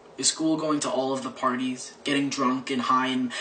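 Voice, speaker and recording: A man speaks at a moderate pace with lively intonation, with noticeable background noise behind him. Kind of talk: slam poetry performance.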